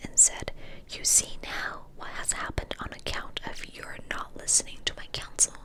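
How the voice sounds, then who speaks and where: A woman whispers at a fairly slow pace, with noticeable background noise around her. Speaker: ASMR creator. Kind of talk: fairy tale reading, ASMR. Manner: whispered.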